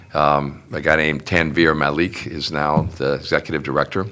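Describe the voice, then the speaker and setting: At a moderate pace, this speech carries a bright, sharp tone. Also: man. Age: 70s. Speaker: union and community activist, son of a WWII veteran. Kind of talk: casual interview. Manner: halting, many fillers.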